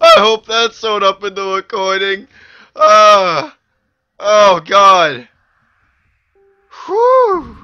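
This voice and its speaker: This man uses a raised, projected voice pitched high, moving at a very slow pace with long, frequent pauses. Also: lively intonation. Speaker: gaming video creator. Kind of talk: let's play commentary. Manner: animated, screaming at times.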